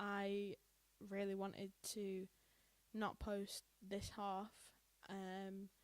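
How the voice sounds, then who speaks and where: In a British accent, a woman is talking. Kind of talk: casual podcast conversation.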